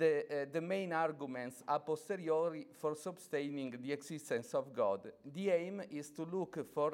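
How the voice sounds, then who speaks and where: This man speaks with an Italian accent at a moderate pace. His pitch is fairly high, with ordinary variation. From Italy. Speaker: academic speaker, priest. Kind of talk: conference lecture. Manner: halting, many fillers.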